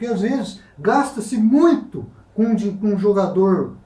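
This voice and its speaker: Audible room echo carries a high-pitched man's voice at a fairly slow pace. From Brazil, Taubaté (São Paulo state). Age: 60s. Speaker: writer. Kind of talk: talk show interview. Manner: halting.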